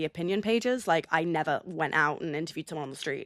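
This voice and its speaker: A woman with a fairly low pitch speaks at a very fast pace. The recording is very clean with a silent background, and the sound is dry and close with no echo. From England, London. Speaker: audio producer. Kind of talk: interview.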